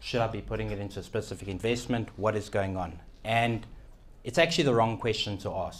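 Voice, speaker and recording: Speaking at a fairly quick pace, a man with a fairly low pitch and vocal fry uses ordinary pitch variation. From South Africa. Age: young. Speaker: keynote speaker, financial radio and TV personality. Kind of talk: keynote talk. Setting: event room with live audience.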